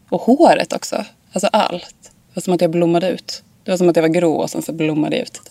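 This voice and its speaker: Talking at a very fast pace, a woman uses a fairly low pitch with ordinary pitch variation and big swings in loudness. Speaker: fashion model. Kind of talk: casual interview.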